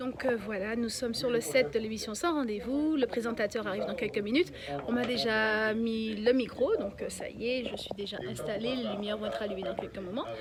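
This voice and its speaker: A woman talks at a fairly quick pace and fairly high pitch with ordinary pitch variation, amid noticeable background noise and audible room echo. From Guadeloupe, Pointe-à-Pitre. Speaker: journalist and TV presenter. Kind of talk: interview. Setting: TV set.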